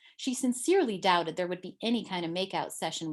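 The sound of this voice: The speaker reads in an unforced reading voice, with lively intonation.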